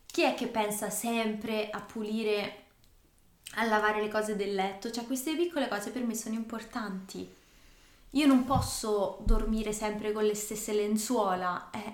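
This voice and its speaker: A woman at a fairly high pitch and fairly slow pace, a normal speaking voice, with fairly even intonation. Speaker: language-learning podcast co-host. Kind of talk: casual chat. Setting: indoors, evening on a couch.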